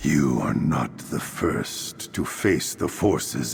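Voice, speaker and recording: At a very slow pace, a man performs a put-on character voice over clear background noise. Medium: video game. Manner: solemn, formal.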